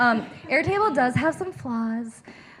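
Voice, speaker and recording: A woman's voice swings very widely in pitch against noticeable background noise. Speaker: user research lead, speaker. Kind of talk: Q&A after a talk. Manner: fast.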